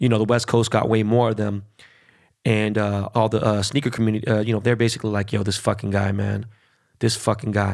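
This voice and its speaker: Very fast and fairly low in pitch, a man speaks with a Californian accent. The recording is very clean, with a silent background. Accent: Californian American English. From Los Angeles, Koreatown. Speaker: podcast host. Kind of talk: casual interview chat. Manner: animated.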